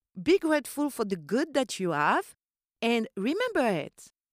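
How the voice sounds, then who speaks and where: In a French accent, a woman speaks at a fairly slow pace with an animated tone and very wide pitch swings, the sound dry and close with no echo. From Corsica. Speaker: podcast host and voiceover artist. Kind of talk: solo podcast monologue, casual chat. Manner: animated, friendly.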